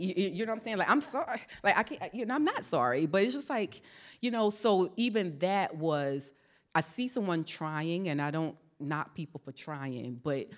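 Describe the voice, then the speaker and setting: A woman with an American accent and a plain, everyday voice, at a moderate pace with lively intonation. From US South, South Carolina. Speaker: author and military veteran. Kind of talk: panel conversation; reading aloud from her book. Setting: church stage with audience.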